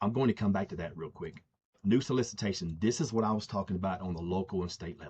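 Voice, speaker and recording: A man speaks at a very fast pace, somewhat breathy, with ordinary pitch variation. His loudness swings in big jumps. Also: fairly low pitch for a man. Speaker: software founder. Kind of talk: tutorial.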